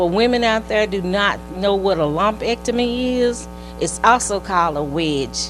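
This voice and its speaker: A woman speaking at a moderate pace over music in the background. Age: 60s. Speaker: retired nurse, cancer survivor. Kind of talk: testimony.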